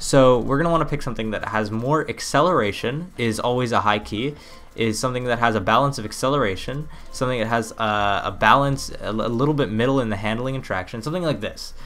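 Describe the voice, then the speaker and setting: Music plays in the background and there is audible room echo. A man talks at a very fast pace with ordinary pitch variation. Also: medium pitch for a man. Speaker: gaming YouTuber. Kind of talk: gameplay tutorial commentary. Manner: casual, filler-heavy.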